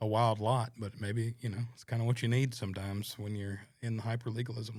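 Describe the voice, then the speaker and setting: A man with a Southern US accent speaks fairly quickly at medium pitch, his intonation monotone and flat and his voice somewhat breathy. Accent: Southern US accent, noticeable. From North Carolina, Stokes County (US South). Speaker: singer-songwriter. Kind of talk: casual chat. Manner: halting, many fillers.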